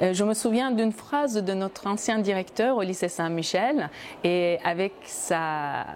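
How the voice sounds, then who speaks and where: A woman speaks at a fairly slow pace with a medium pitch and ordinary pitch variation. Her loudness stays very even. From Turkey (Izmir). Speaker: wine educator and former cultural journalist. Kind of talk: interview. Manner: hesitant, many fillers.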